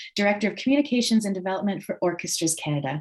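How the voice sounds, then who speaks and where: A woman speaks at a medium pitch, somewhat breathy. Her pitch swings very widely. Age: middle-aged. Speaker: webinar host. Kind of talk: online presentation introduction.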